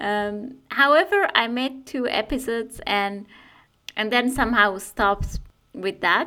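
In a Persian accent, a woman speaks at a fairly slow pace with a bright, sharp tone and ordinary pitch variation. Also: fairly high pitch for a woman. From Iran. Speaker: community radio maker. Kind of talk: interview. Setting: recording alone at home.

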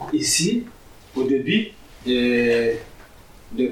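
A man's speech carries audible room echo, with noticeable background noise also present. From Niger. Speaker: migrant rights activist. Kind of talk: public talk with consecutive interpretation.

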